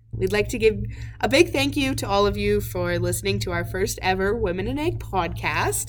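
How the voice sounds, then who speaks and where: Speech with a Canadian Prairies accent at a moderate pace, with audible room echo. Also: woman. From southern Saskatchewan. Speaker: podcast host, agriculture student. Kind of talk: scripted narration.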